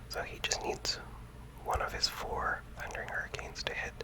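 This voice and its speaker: The words are whispered at a moderate pace. Background noise can be noticeably heard. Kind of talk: ASMR gameplay commentary.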